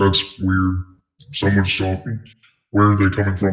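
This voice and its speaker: A man uses a put-on character voice, fairly low in pitch. His intonation is monotone and flat, at a moderate pace. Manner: gruff, sardonic.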